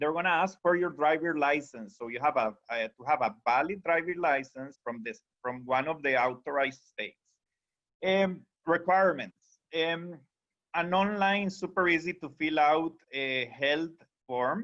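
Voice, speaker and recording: With a Costa Rican accent, a man talks at a moderate pace in a fairly high pitch with ordinary pitch variation. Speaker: tour company sales director. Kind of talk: webinar presentation. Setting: video call.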